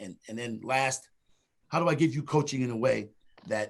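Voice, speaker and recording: Delivery comes at a moderate pace. Pitch variation is ordinary. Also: man. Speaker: diversity trainer, restaurant industry speaker. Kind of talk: webinar presentation. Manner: loud.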